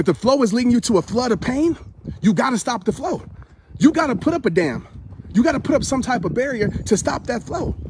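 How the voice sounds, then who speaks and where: Over noticeable background noise, a man with an extremely high pitch talks in a passionate tone at a fairly quick pace. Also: lively intonation. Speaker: motivational speaker. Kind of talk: motivational speech, live talk to camera. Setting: recorded live stream, talking after a run. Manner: passionate, emphatic, conversational.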